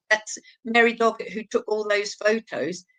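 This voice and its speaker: Speaking with an East Anglian accent at a moderate pace, a woman has a fairly high pitch, recorded with a dry, close sound and no echo. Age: 70s. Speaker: abuse survivor and campaigner. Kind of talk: interview testimony. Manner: halting.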